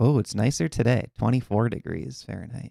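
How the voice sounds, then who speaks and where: With a Minnesotan accent, a man talks in a dark, mellow tone with vocal fry and lively intonation, the sound dry and close with no echo. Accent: Minnesota. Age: 40s. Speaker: chess coach. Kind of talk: live online chess class. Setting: live stream. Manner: casual, conversational.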